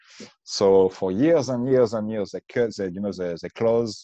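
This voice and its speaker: In a French accent, a man speaks at a moderate pace with a fairly low pitch, ordinary pitch variation and a dark, mellow tone against a quiet background. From France. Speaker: bitcoin meetup organizer. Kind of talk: casual interview chat. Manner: halting, searching for words.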